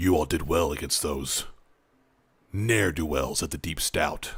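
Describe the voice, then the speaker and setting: A man puts on a character voice with a very deep, low pitch. He keeps a moderate pace on a very clean recording with a silent background. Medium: actual play. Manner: formal, vague.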